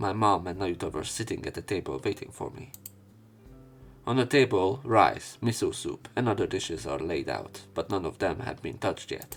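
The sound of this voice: Speaking at a moderate pace, a man with a low voice uses lively intonation.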